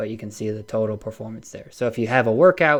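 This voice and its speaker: A man mumbles his words. His pitch sits in the medium range. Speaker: fitness data analyst presenter. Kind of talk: webinar presentation. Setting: live online webinar. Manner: mumbling.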